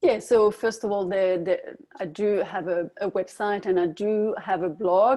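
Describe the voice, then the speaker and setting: The speaker has a French accent and a dark, mellow tone. Delivery is fairly slow with hardly any pauses and fairly even intonation. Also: woman, medium pitch for a woman. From France. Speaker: dietitian. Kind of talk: webinar interview. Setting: online webinar.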